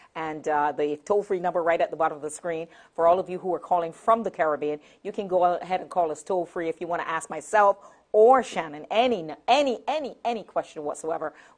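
A woman's fairly low-pitched voice at a very fast pace over a quiet background. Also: ordinary pitch variation. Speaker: TV talk show host. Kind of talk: talk show hosting. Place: studio.

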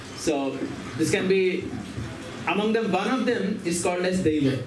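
A man at a moderate pace, ordinary pitch variation, noticeable background noise. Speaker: speaker. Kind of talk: scripture reading and lecture. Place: home room. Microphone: handheld.

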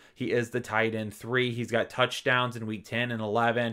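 An energetic man talks at a medium pitch and a moderate pace. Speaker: fantasy football analyst. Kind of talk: solo sports rankings video. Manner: energetic, casual.

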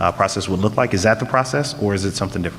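A fairly low-pitched man against noticeable background noise. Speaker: school board trustee. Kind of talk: board meeting discussion. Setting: school board meeting. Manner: loud.

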